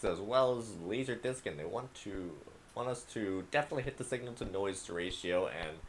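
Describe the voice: This is reading aloud. The delivery is plain.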